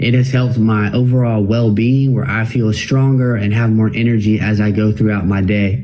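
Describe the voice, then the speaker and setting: A man at a medium pitch and moderate pace, with fairly even intonation and very even loudness, amid noticeable background noise and audible room echo. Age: 20s. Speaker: cystic fibrosis patient. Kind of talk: testimony.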